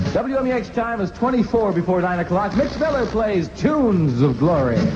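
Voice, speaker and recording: A high-pitched man speaks at a moderate pace with very wide pitch swings, against noticeable background noise. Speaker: radio disc jockey. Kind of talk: 1960s AM radio disc jockey patter.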